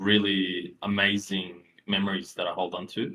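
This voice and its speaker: The man's pitch is very deep and low. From former Yugoslavia, moved to Australia at ten. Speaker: web3 entrepreneur. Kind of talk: podcast interview. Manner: many fillers (um, you know).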